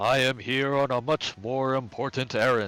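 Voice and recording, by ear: A booming, put-on character voice from a man at medium pitch moves at a moderate pace.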